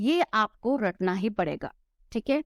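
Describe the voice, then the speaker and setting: On a very clean recording with a silent background and a dry, close sound with no echo, a woman with a non-native accent talks in a fairly high voice with lively intonation. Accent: non-native Hindi pronunciation, self-noted. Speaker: online tutor. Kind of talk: tutorial. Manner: Hindi-English code-mixing.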